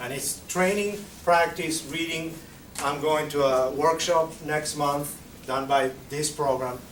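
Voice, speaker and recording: A man at a very slow pace with a Spanish accent, fairly even intonation, audible room echo and noticeable background noise. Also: fairly high pitch for a man. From Argentina. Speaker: Spanish teacher. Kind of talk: conference presentation Q&A. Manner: halting.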